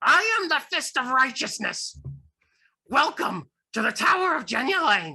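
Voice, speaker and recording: A female-sounding put-on character voice, high in pitch, lurches through very wide pitch swings with long, frequent pauses. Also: moderate pace. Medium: actual play.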